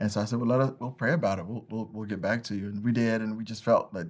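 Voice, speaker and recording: This is an unremarkable speaking voice with an American accent and fairly even intonation. The background is quiet. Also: man. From North Carolina, US South. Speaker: branding agency owner. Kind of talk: interview.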